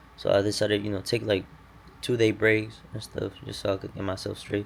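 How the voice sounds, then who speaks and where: At a moderate pace, a man talks in a fairly low pitch. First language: Spanish. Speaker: day trader vlogger. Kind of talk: casual vlog monologue. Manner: unscripted, many fillers.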